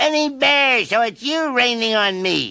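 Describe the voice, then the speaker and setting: Someone does a put-on character voice at a fairly high pitch and a moderate pace. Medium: read story. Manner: gentle, warm.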